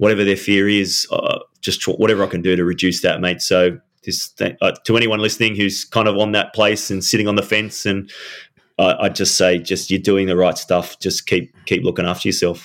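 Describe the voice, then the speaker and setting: A man's fairly low voice, monotone with flat intonation, at a fairly quick pace. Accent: Australian. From Australia, Sydney. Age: 40s. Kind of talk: casual interview. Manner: halting, repeats words.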